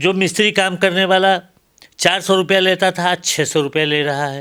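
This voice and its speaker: A man with a high pitch speaks at a moderate pace. His tone is bright and sharp, and his intonation is fairly even. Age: 70s. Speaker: professor; political commentator. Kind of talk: interview. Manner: halting.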